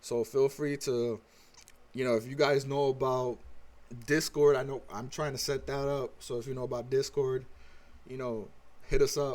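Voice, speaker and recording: Pausing long and often, a man speaks at a moderate pace and medium pitch in a flat monotone, his loudness swinging widely. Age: 30s. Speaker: livestreamer. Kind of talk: casual chat. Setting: livestream.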